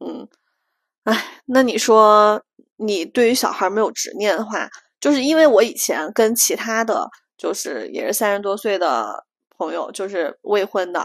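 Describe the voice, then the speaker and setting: The recording is very clean, with a silent background. A woman with a fairly high pitch speaks at a fairly slow pace with lively intonation. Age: 30s. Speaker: podcast co-host. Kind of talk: casual chat. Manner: animated.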